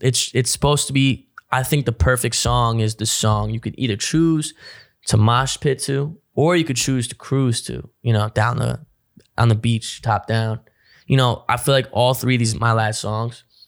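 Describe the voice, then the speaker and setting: This man has a New Jersey accent. His medium-pitched voice shows ordinary pitch variation. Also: moderate pace. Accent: New Jersey American. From North Jersey. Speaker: rapper. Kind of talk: casual chat.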